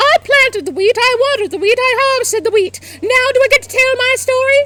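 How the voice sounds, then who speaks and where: Putting on a squeaky character voice, a woman talks at a very fast pace and an extremely high pitch. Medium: read story. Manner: complaining.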